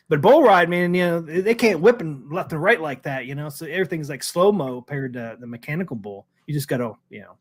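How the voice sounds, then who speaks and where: Talking at a fairly quick pace, a man uses an ordinary speaking voice with lively intonation on a very clean recording with a silent background. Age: 40s. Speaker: arcade talk show host. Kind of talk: casual chat.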